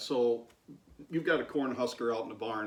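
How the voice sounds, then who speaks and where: With noticeable noise behind him, a man talks very fast at a medium pitch. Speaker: farmer, channel host. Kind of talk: casual talk to camera and interviewing.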